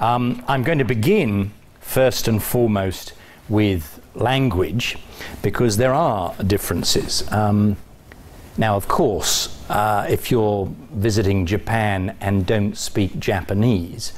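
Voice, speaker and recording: A man's fairly low voice at a very slow pace, with ordinary pitch variation and very even loudness, plus audible room echo and noticeable background noise. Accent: British. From England. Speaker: college dean giving a talk. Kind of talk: lecture. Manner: hesitant, with fillers.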